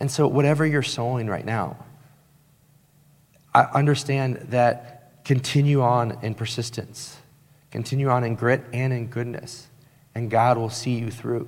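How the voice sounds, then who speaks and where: A man of medium pitch talks at a fairly slow pace with long, frequent pauses. His intonation is monotone and flat, and there is audible room echo. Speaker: pastor. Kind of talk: sermon. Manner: emphatic, repeats points.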